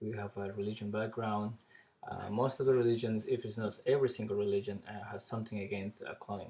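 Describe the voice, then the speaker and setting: Here a man speaks with a dark, mellow tone, fairly low in pitch and somewhat breathy. His intonation stays monotone and flat. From Ecuador. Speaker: biology teacher giving a speech. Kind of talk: practice speech, classroom talk. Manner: halting, many fillers.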